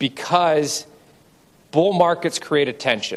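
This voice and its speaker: In a plain, everyday voice, a man talks at a moderate pace with fairly even intonation. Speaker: commodity broker. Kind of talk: conference presentation.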